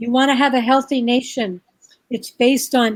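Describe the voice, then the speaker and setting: With an American accent, a woman speaks at a moderate pace in a high pitch. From New York. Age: 60s. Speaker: birth and parenting educator. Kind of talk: interview. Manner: animated.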